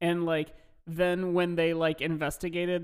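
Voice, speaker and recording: A man with a normal speaking voice speaks at a fairly high pitch and a moderate pace. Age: 20s. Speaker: podcast co-host. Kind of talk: casual chat.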